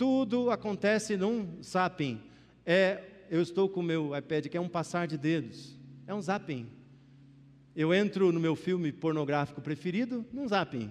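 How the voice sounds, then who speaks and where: A man talks at a fairly slow pace in a high voice. His intonation is lively. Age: 50s. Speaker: pastor. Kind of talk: sermon. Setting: church.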